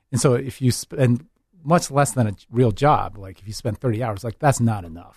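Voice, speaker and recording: Over a quiet background, a man with a medium pitch and a somewhat breathy voice shows ordinary pitch variation and big swings in loudness. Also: moderate pace. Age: 40s. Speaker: education director and mentor at a medical school. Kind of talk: casual interview.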